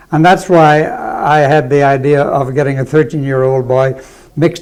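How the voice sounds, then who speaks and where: A man's fairly high voice moves along at a moderate pace. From South Wales, raised from 13 in Alberta coal town. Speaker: retired teacher and local historian. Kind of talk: interview, storytelling.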